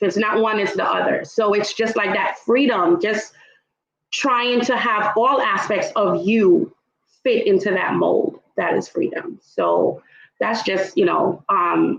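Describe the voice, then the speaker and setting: With very even loudness, a woman talks at a fairly slow pace. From Trinidad, raised in Brooklyn. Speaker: luxury travel entrepreneur. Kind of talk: panel discussion. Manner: animated.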